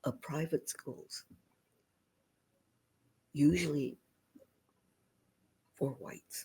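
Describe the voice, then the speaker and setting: A woman speaks with a very deep, low pitch in a dark, mellow tone. Her voice is somewhat breathy and her pace very slow. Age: 80s+. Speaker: community activist and researcher. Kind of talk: interview answer. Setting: remote recording.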